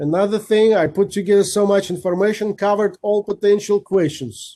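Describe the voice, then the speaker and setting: Pitched high with a dark, mellow tone, a man talks at a fairly quick pace with fairly even intonation and very even loudness, in a dry, close sound with no echo. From Kazakhstan. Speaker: guest speaker, rotarian. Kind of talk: Q&A after presentation. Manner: fast.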